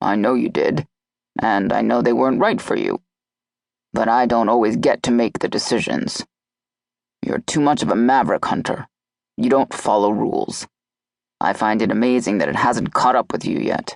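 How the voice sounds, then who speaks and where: Using a put-on character voice, a man sounds gruff and growling at a moderate pace with long, frequent pauses, in a dry, close sound with no echo. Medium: read story. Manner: gruff, blunt, swears casually.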